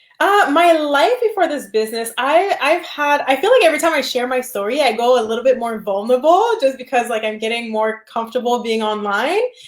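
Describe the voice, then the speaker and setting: Over noticeable background noise, a woman with a high pitch talks at a fairly quick pace with hardly any pauses. Her intonation is lively. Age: 20s. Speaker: flight attendant and online business owner. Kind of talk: interview. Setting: live video call.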